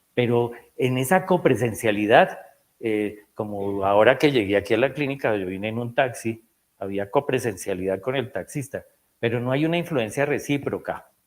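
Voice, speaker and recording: A man speaks in a plain, everyday voice at a medium pitch. His pace is moderate and his intonation lively. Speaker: psychiatrist. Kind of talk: lecture.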